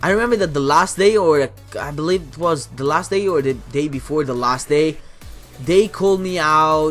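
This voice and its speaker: Over music in the background, a man with a fairly high pitch talks at a moderate pace, his loudness swinging widely and his pitch varying in an ordinary way. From Italy. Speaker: gaming YouTuber. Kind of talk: casual talk to camera. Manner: chatty, rambling.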